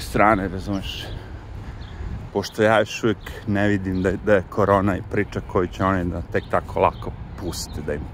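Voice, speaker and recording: Fairly quick speech from a man at a fairly low pitch, with a dry sound with no echo and light background noise. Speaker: vlogger. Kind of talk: casual vlog chat. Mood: relaxed, sometimes wry. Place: street. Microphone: phone near.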